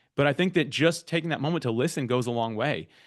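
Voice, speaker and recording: This man talks with a fairly high pitch. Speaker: podcast guest-matching platform founder. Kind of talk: workshop talk. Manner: loud and fast; stumbles over words.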